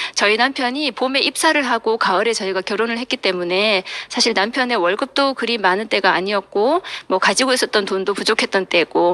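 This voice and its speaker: A woman with a Gyeongsang accent speaks at a fairly quick pace, her fairly high pitch showing ordinary variation and her loudness very even. The sound is dry and close with no echo, though there is noticeable background noise. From South Korea, Daegu. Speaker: business seminar speaker. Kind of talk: motivational talk.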